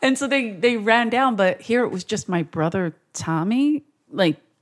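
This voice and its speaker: An animated, fairly slow voice with lively intonation in a Philadelphia accent, dry and close with no echo. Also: woman. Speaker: comedian. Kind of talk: casual chat.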